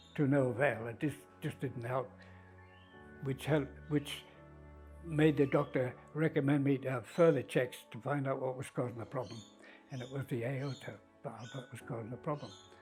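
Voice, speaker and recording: The speech moves at a moderate pace with fairly even intonation, long and frequent pauses, and big swings in loudness over music in the background. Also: man, medium pitch for a man. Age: 80s. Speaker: heart valve patient, golfer. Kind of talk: interview answer.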